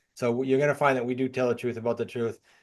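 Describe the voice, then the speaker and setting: In a New England accent, a man at medium pitch speaks very fast in a monotone, flat way against a quiet background. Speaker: real estate coach and author. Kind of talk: interview.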